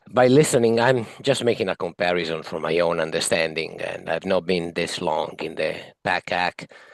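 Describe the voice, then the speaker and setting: Against a quiet background, a man with an Italian accent speaks at a moderate pace in a very deep, low voice with ordinary pitch variation. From Italy. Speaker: municipal advisory committee member. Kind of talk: committee meeting discussion. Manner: halting.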